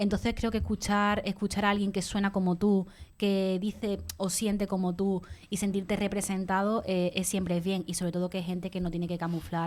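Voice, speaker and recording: A woman of medium pitch talks at a fairly quick pace in a flat monotone, recorded very cleanly against a silent background. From Andalusia. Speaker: radio columnist. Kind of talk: radio panel discussion.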